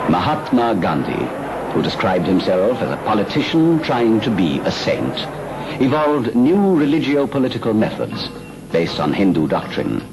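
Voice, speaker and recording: A man at a moderate pace, his pitch swinging very widely, over noticeable background noise. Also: medium pitch for a man. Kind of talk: documentary narration.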